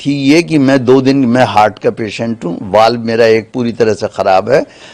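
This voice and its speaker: A man's medium-pitched voice sits against noticeable background noise. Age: 70s. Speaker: lawyer. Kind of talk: media interview.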